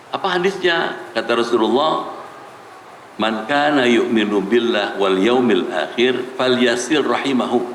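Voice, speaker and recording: Speaking at a fairly slow pace with a medium pitch, a man keeps his loudness very even while his intonation stays lively, with audible room echo and noticeable background noise in the recording. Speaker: Islamic preacher. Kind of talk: sermon. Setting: mosque with audience. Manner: slow, soothing teaching tone; getting quieter.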